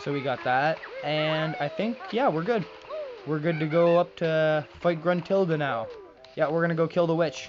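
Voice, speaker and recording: Music plays in the background as the speaker talks in an animated tone at a moderate pace. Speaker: gaming YouTuber. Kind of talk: let's play commentary. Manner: frequent pauses and filler sounds; casual, animated.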